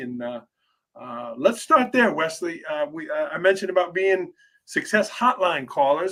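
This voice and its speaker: A high-pitched male voice with lively intonation. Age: 40s. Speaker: podcast host. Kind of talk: podcast interview.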